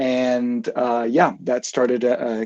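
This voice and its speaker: A man with an American accent talks in a dark, mellow tone, his intonation monotone and flat. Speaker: sports technology consultant, program alumnus. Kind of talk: live interview.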